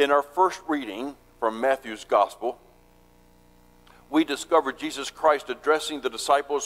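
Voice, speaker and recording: This man talks at a fairly slow pace in a medium pitch. His pitch varies in an ordinary way. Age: 60s. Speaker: pastor. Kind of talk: sermon.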